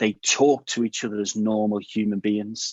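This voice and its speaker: A man speaks at a moderate pace with an English accent. His fairly low voice stays monotone and flat. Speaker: cybersecurity awareness video creator. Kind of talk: interview answer. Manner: casual, candid, with swearing.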